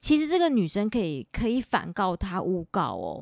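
A woman speaks with very wide pitch swings. The sound is dry and close with no echo, in a very clean recording with a silent background. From Taiwan, Taipei. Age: 40s. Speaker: podcast host and author. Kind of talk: casual monologue; sponsored product pitch.

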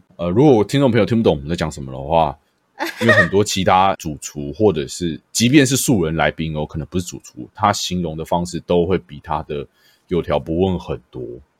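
A man with a very deep, low pitch and vocal fry speaks at a fairly quick pace, his loudness swinging widely. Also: lively intonation, dry, close sound with no echo. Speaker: podcast host and streamer. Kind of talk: casual chat. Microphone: new microphone.

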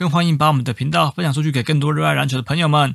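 A somewhat breathy man with a fairly high pitch rushes along at a very fast pace with fairly even intonation. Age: middle-aged. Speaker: podcast co-host. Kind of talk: casual chat; scripted show intro.

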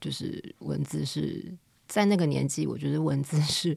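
A woman is speaking. Her pace is moderate. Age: 30s. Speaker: editor and company director. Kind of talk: casual interview chat.

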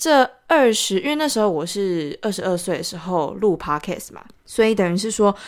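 On a very clean recording with a silent background, an unremarkable speaking voice shows lively intonation. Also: woman. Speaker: podcaster and entrepreneur. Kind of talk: casual solo monologue.

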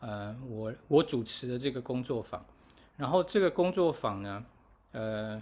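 A man speaks at a medium pitch. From Taiwan. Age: 40s. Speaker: musician and festival organizer. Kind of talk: casual interview chat. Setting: remote call from overseas.

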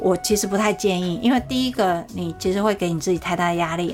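A fairly quick female voice with ordinary pitch variation. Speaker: sales coach and podcast host. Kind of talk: solo podcast talk.

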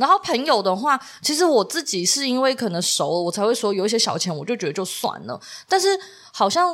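Very wide pitch swings in a woman's high voice, delivered at a fairly quick pace. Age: 30s. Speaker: podcast co-host. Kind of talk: casual chat.

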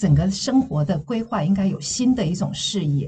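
Somewhat breathy, a woman speaks at a medium pitch and moderate pace with lively intonation. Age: 60s. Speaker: counseling psychologist and former news anchor. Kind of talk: interview podcast.

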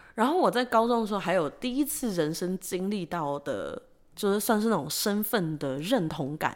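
A woman at a medium pitch with very wide pitch swings and a moderate pace, on a very clean recording with a silent background. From Taiwan. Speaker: podcast co-host. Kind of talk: casual chat.

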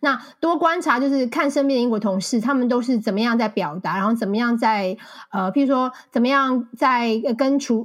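A woman with a high pitch speaks with a Taiwanese accent at a moderate pace, with ordinary pitch variation and very even loudness. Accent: Taiwanese Mandarin. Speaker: marketing account manager and author. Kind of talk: interview conversation.

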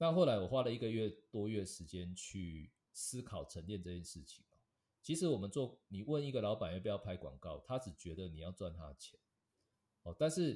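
A man at a fairly low pitch, somewhat breathy and dark, mellow in tone, with very wide pitch swings, big swings in loudness and a moderate pace. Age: 40s. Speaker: advertising director. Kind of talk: interview.

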